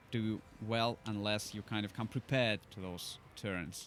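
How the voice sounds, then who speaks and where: With music in the background, a man with a non-native accent talks at a medium pitch. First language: not English. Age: 20s. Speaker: gaming YouTuber. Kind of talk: gameplay commentary. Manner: hesitant, many fillers.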